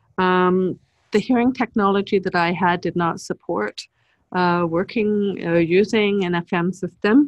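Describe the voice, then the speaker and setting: A woman with a normal speaking voice and medium pitch speaks at a fairly slow pace with fairly even intonation. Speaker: teacher of the deaf. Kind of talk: webinar presentation. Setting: webinar.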